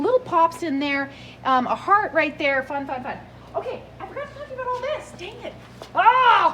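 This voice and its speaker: A woman's extremely high, raised and projected voice with very wide pitch swings and big swings in loudness, over noticeable background noise. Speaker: antique booth vendor. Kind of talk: video tour of antique booth. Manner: fast; animated.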